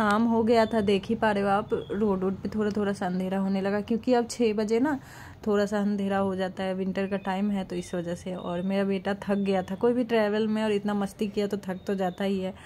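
Speaking at a moderate pace with hardly any pauses, a woman uses a monotone, flat intonation and a dark, mellow tone against light background noise. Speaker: family vlogger. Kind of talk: casual vlog chat. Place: car. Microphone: phone near.

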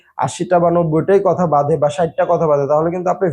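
This man's voice sits high in pitch, with a dark, mellow tone and fairly even intonation. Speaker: YouTube content creator. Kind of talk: vlog tutorial. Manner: stutters at times, edited out.

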